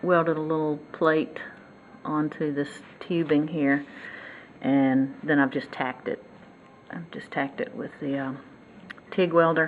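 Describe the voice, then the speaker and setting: A woman with a Southern US accent speaks at a very deep, low pitch and a fairly slow pace, leaving long, frequent pauses. Her pitch varies in an ordinary way over noticeable background noise. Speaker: motorcycle hobbyist and DIY fabricator. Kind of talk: casual tutorial. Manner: halting.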